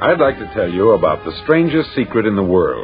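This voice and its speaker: Music plays in the background as a man speaks at a moderate pace. His medium-pitched voice has very wide pitch swings. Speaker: broadcaster. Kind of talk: motivational speech recording.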